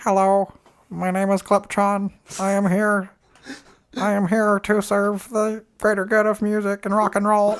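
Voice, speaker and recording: A put-on robotic character voice sits at a fairly high pitch, moving at a moderate pace with monotone, flat intonation. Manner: mockingly stupid, robotic.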